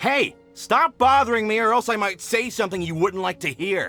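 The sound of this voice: A man's put-on character voice, high-pitched, bright and sharp, with lively intonation at a moderate pace over faint background music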